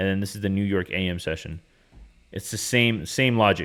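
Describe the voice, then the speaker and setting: In a very clean recording with a silent background, a man with a fairly low pitch talks at a fairly quick pace in an animated tone. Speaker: day trader and trading educator. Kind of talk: market recap tutorial. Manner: fast; casual, animated.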